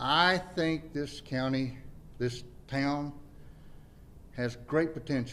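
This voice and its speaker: A man's fairly high, bright, sharp voice with fairly even intonation, a very slow pace, long, frequent pauses and audible room echo. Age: 60s. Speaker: mayoral candidate. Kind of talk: campaign speech.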